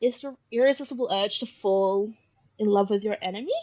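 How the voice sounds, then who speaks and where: A woman with an Australian accent talks at a moderate pace. Her pitch is fairly high, with ordinary variation. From Australia, Brisbane, Queensland. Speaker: author. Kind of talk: casual chat.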